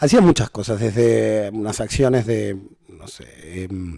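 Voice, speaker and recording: Ordinary pitch variation runs through a voice with a dark, mellow tone. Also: man. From Argentina. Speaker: hosting company country manager. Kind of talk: podcast interview. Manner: hesitant, many fillers.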